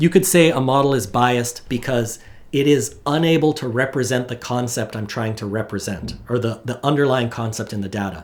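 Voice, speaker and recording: Audible room echo surrounds a man whose pitch varies in an ordinary way. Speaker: university lecturer. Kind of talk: lecture. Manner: fast; casual, conversational.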